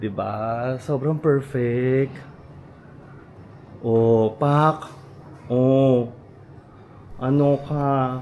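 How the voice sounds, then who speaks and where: A man talks quietly at a very slow pace, in a medium pitch. His speech has long, frequent pauses. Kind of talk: casual vlog. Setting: hotel room. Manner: deliberately quiet; animated.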